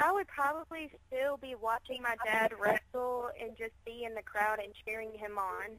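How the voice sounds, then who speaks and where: Speaking with an American accent, a woman with a fairly high pitch talks at a moderate pace with hardly any pauses. Her pitch varies in an ordinary way, and there is noticeable background noise. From Chicago, later Mississippi. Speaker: professional wrestler. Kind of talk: radio interview.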